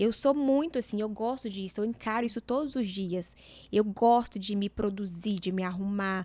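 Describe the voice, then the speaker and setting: Her tone is dark and mellow, though her pitch is fairly high. The woman speaks at a moderate pace. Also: very clean recording, silent background. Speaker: image consultant. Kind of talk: podcast conversation.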